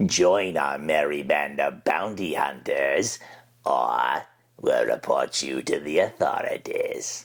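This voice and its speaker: Fairly slow, raspy put-on character voice from a man. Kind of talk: put-on voiceover delivery. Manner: smiling, playful.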